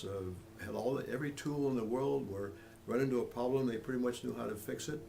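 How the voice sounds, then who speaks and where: Amid noticeable background noise, a man talks at a fairly quick pace and medium pitch, with ordinary pitch variation. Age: 80s+. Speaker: author. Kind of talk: interview answer. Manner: hesitant, casual.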